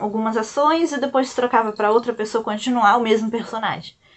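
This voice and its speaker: A woman speaks in a fairly high pitch. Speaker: YouTuber and illustrator. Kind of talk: casual storytelling vlog. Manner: soft-spoken; hesitant, many fillers.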